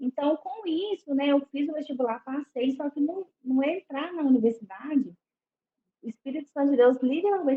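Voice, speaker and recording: At a high pitch, a woman talks with lively intonation. Her pace is fairly quick. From Belo Horizonte, Minas Gerais, Brazil. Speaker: psychologist. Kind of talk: casual interview chat.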